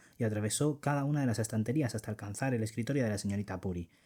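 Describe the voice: A passage gets plain reading aloud. Its pitch rises and falls by ordinary amounts.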